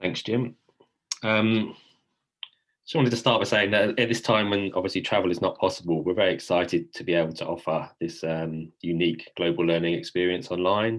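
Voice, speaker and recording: Fairly quick speech in a British accent, with ordinary pitch variation. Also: man, very deep, low pitch for a man. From England, London. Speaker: study abroad program staff. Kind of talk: info session presentation.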